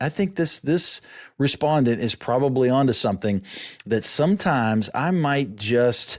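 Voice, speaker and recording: In a very clean recording with a silent background, a man talks at a medium pitch with lively intonation. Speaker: company founder and podcast host. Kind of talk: casual solo podcast talk. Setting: video podcast. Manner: fast; halting, many repeated words.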